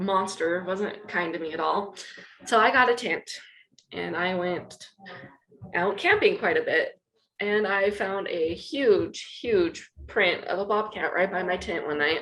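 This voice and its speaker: In an American accent, a woman with a normal speaking voice talks at a medium pitch with ordinary pitch variation. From Utah (Wayne County, rural). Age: 30s. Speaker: person in addiction recovery. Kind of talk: interview testimony. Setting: office in treatment center, video podcast. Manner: emotional, candid.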